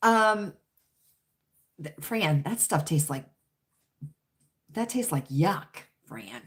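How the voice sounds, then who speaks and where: A very deep, low-pitched, somewhat breathy woman's voice, very slow, with very wide pitch swings and long, frequent pauses. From US South, Richmond, Virginia. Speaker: livestream chat host. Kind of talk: casual livestream chat reading comments. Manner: chatty, repetitive.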